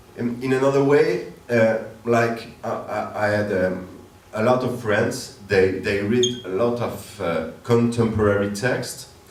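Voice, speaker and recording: A man with a French accent at a medium pitch, ordinary pitch variation and a very slow pace, with audible room echo and noticeable background noise. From northern France. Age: 30s. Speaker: theater director. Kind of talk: interview on stage. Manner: halting, many fillers.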